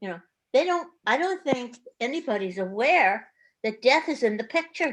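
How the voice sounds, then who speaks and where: A woman's voice with very wide pitch swings. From Germany. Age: 80s+. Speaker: retired therapist, meditation participant. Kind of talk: personal sharing in online group discussion. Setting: video call. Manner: halting.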